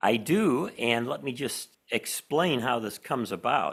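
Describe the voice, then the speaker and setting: With a Chicago accent, a man speaks at a fairly slow pace and a medium pitch, his intonation lively. The recording is very clean, with a silent background. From Chicago, US Midwest. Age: old. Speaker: professor and author. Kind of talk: interview conversation.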